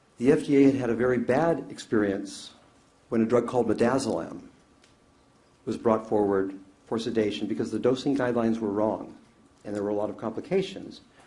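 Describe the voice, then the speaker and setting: In a room with audible echo, a man with a medium-pitched voice and a dark, mellow tone talks at a very fast pace with ordinary pitch variation, broken by long, frequent pauses. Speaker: expert witness, anesthesiologist. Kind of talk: courtroom testimony. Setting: courtroom.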